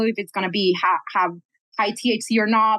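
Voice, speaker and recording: Speaking with a Spanish accent, a woman keeps a moderate pace and fairly even intonation at a fairly high pitch. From Colombia. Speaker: cannabis geneticist, scientist. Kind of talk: podcast interview.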